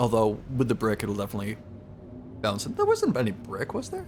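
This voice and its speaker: The voice belongs to a man. Noticeable background noise runs underneath. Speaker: streamer. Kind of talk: casual chat. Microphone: studio condenser microphone.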